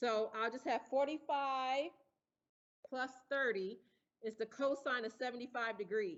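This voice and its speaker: A woman speaks loudly at a high pitch with ordinary pitch variation. Her pace is fairly slow, with long, frequent pauses. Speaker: engineering professor. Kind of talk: lecture.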